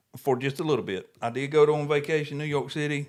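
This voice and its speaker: The speaker talks at a very fast pace in a Southern US accent. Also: man. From US South. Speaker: podcast co-host. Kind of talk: casual chat. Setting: home podcast studio.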